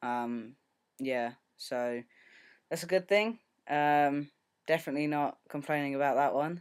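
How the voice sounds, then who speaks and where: A man with a British accent speaks at a fairly high pitch with ordinary pitch variation, at a fairly slow pace with long, frequent pauses. The recording is very clean, its background silent. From UK. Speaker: video blogger. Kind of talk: casual video diary. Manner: hesitant, many filler ums.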